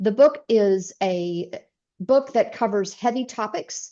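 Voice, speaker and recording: The speaker has a Southern US accent and lively intonation. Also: woman. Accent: full Southern. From US South, East Tennessee. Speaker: author and speaker. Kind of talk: interview.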